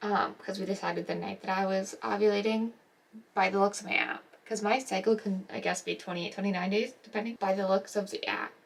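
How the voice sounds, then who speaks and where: Soft-spoken and monotone in her flat intonation, a woman talks at a fairly quick pace and medium pitch over noticeable background noise. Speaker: nurse vlogger. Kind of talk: casual vlog. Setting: at home. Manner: hesitant, filler-heavy.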